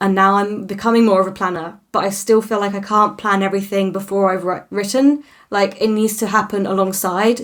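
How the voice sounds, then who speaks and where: With a British accent, a woman talks at a medium pitch and a moderate pace in a flat monotone, with hardly any pauses. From Britain. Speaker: fantasy author, vlogger. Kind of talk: casual vlog update. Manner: chatty, many fillers and self-corrections.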